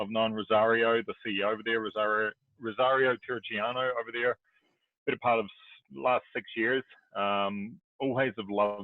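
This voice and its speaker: A man speaks at a moderate pace with a New Zealand accent and a medium pitch. Music plays in the background. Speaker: real estate investor and broker. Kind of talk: podcast interview.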